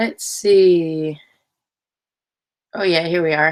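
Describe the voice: A woman speaks at a very slow pace and a fairly low pitch, her intonation fairly even.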